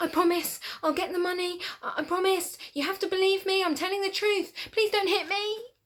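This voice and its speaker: A woman's put-on character voice, squeaky and extremely high-pitched, at a moderate pace with fairly even intonation and hardly any pauses. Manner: rapid, pleading.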